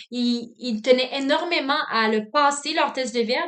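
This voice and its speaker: Fairly slow speech from a woman with a high pitch and ordinary pitch variation, plus audible room echo. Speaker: student teacher. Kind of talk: reflective self-assessment monologue. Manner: loud, dynamic; frequent filler words.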